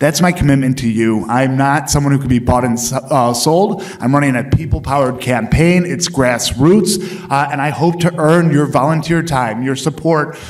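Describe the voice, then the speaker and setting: A man's fairly high voice with an American accent, moderate pace, ordinary pitch variation and hardly any pauses, plus noticeable background noise and audible room echo. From US Midwest, Chicago suburbs. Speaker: congressional candidate, county commissioner. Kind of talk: candidate forum closing statement. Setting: stage with audience.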